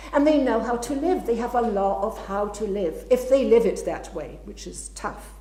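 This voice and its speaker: A woman speaking with hardly any pauses over noticeable background noise. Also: moderate pace, big swings in loudness. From Scotland, Glasgow. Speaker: writer and literary scholar. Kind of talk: talk and audience Q&A.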